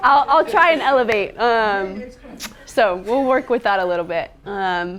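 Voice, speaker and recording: A woman with a fairly high pitch speaks at a fairly slow pace, her intonation lively. Noticeable background noise runs behind her. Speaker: nonprofit farm educator. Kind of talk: presentation. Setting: seminar room with live audience. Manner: soft-spoken.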